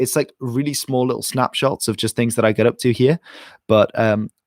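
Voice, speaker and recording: A man speaks with an English accent at a fairly quick pace. The sound is dry and close, with no echo. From England. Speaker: history YouTuber. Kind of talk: live stream Q&A chat.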